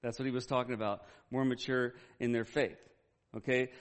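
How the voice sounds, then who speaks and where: The man's pace is fairly quick. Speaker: pastor. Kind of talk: sermon. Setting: church with congregation. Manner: fast.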